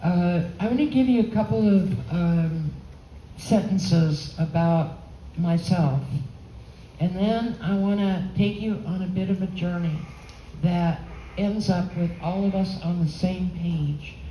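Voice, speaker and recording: A woman's fairly low voice at a fairly slow pace, with ordinary pitch variation, long, frequent pauses and audible room echo. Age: 80s+. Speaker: holography expert and painter giving a talk. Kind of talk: lecture. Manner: halting.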